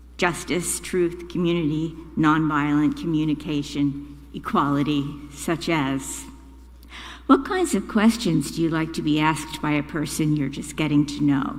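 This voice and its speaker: A woman's fairly slow speech with audible room echo. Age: 80s+. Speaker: congregant lay speaker. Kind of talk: prepared reflection at a church service. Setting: church.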